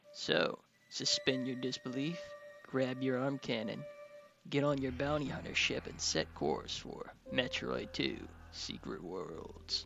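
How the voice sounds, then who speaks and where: A man talks at a very slow pace with music in the background. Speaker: creepypasta narrator. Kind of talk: show intro to listeners. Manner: quiet.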